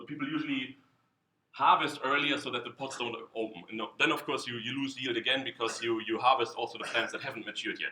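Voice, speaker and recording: A man with a German accent talks at a very fast pace. His medium-pitched voice has a bright, sharp tone and fairly even intonation. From Germany. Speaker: scientist. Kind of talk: conference talk. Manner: halting, many repetitions.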